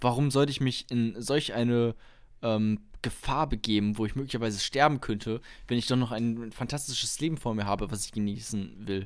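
In a normal speaking voice at medium pitch, a man talks at a moderate pace with fairly even intonation on a very clean recording with a silent background. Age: 20s. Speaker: podcast co-host, student, amateur comedian. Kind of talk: casual chat.

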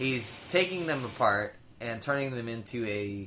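This is a plain, everyday voice, moving at a moderate pace with ordinary pitch variation. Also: man. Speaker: podcast co-host. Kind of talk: casual banter between co-hosts. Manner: joking, talkative.

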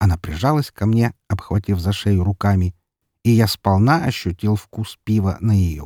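Quiet surroundings and a natural voice reading

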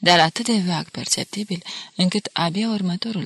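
The clip is someone reading. The voice is an unforced reading voice.

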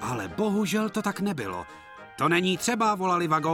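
The voice here is an unforced reading voice.

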